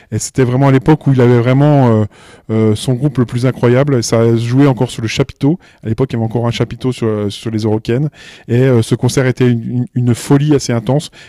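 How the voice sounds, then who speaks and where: Dark and mellow in tone, a man's medium-pitched voice has fairly even intonation. He speaks very fast, and the sound is dry and close with no echo. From eastern France, Belfort area. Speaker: music festival programmer. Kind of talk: interview. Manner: hesitant, many fillers and repetitions.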